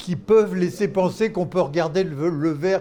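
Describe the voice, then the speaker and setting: With a dark, mellow tone, a man speaks at a high pitch and moderate pace with ordinary pitch variation. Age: 80s+. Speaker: philanthropy expert, former doctor and NGO leader. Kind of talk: interview. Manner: halting.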